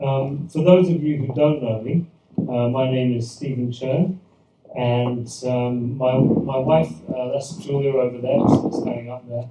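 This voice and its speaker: Over noticeable background noise, a voice with a British accent moves at a fairly slow pace with fairly even intonation. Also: man, medium pitch for a man. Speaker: pastor. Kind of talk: church presentation talk. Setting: event with live audience. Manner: hesitant, many fillers and repetitions.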